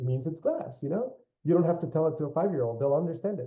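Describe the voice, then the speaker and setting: A man talks with a Spanish accent. His voice is somewhat breathy. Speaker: architect and general contractor. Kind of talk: interview. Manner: hesitant, many repeated words.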